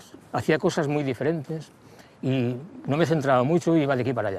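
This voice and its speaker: A man speaks with a western Catalan accent. His pitch varies in an ordinary way. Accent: western Catalan (Lleida). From Lleida, Catalonia. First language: Catalan (speaking Spanish). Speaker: singer-songwriter. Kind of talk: interview. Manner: halting, with many repetitions.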